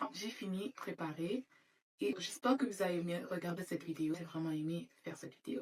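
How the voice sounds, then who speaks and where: A woman with an English accent and a fairly low voice, speaking at a fairly quick pace with lively intonation. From Florida, Saint-Martin and France (mixed childhood). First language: English (speaking French). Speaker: beauty vlogger. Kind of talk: casual makeup vlog chat. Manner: halting, with hesitations.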